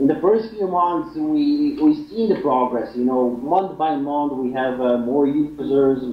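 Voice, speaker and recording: A man with a Polish accent speaks at a fairly slow pace with hardly any pauses, lively intonation and a fairly high pitch, against noticeable background noise. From Poland. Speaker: fitness website founder. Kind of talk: interview. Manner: halting.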